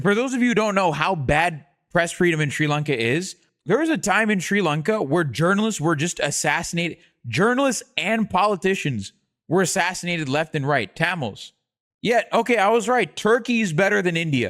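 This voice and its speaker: With lively intonation and an animated tone, a man speaks at a fairly quick pace and a high pitch, his loudness very even, on a very clean recording with a silent background. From South Asia. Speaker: streamer. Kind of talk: live reaction stream.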